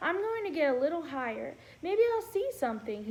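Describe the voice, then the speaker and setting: Over light background noise, a woman puts on a squeaky character voice at an extremely high pitch, swinging very widely in pitch at a fairly quick pace. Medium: read story.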